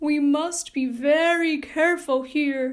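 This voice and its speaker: Putting on a character voice, a woman speaks at a fairly slow pace, pitched high, with fairly even intonation. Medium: read story. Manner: gentle.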